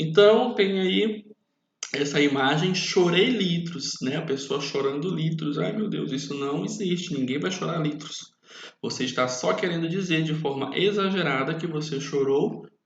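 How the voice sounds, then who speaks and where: A man with an ordinary speaking voice talks at a fairly slow pace, his fairly high pitch shaped by lively intonation. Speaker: teacher. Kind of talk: lecture.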